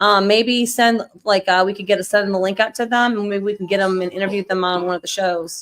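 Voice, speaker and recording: A woman speaks at a very fast pace in a medium pitch, her intonation flat and monotone. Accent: American. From New York. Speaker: livestream show host. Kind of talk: casual chat. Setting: live stream.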